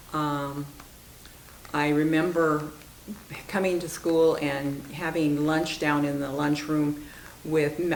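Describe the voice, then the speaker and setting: In an American accent, a woman with a very deep, low pitch speaks very slowly in flat, monotone intonation, leaving long, frequent pauses. Audible room echo and noticeable background noise surround her. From Iowa, US Midwest. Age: 70s. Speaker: longtime parishioner. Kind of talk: interview reminiscence.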